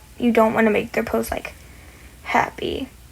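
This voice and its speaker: A woman's voice with noticeable background noise. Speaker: content creator. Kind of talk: tutorial. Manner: stuttering; casual, halting.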